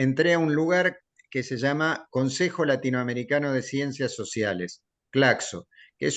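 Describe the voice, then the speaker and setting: Against a quiet background, a man talks at a fairly slow pace. His pitch is medium and varies in an ordinary way. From Argentina. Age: 60s. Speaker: sports journalist and writer. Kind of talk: interview. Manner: halting.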